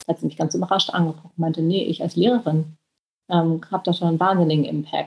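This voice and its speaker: Very fast and somewhat breathy, the voice keeps a fairly even intonation. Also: woman, fairly low pitch for a woman. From Germany, Berlin. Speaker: author and reporter. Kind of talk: interview.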